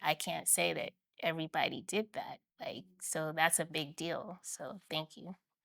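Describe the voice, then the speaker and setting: Soft-spoken and fairly slow, a woman talks in a dry, close sound with no echo on a very clean recording with a silent background. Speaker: social worker and photographer. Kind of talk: interview conversation.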